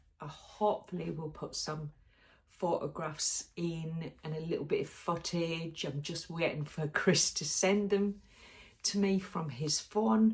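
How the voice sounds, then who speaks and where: The speaker has a British accent, a fairly slow pace and ordinary pitch variation. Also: woman, fairly low pitch for a woman. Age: 60s. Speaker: sewing vlogger. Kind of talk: casual vlog chat. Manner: chatty, with frequent ums.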